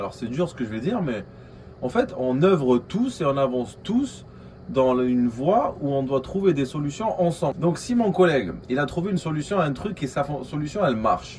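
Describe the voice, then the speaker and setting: A man with a slight Algerian accent, fairly high-pitched, at a moderate pace, with very wide pitch swings over noticeable background noise. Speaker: vlogger, aspiring entrepreneur. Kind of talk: casual vlog monologue. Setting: coworking space. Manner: hesitant, many fillers.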